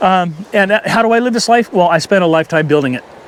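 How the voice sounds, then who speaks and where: There is noticeable background noise behind a man speaking. He talks at a fairly quick pace with ordinary pitch variation. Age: 60s. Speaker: fishing vlogger. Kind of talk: casual monologue vlog. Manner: halting.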